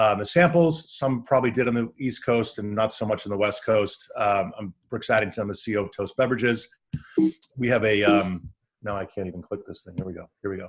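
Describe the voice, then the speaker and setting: This man's voice sits fairly low and moves at a fairly quick pace. His pitch varies in an ordinary way while his loudness swings widely. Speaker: startup founder pitching a beverage brand. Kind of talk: pitch presentation. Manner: fast; hesitant, many fillers.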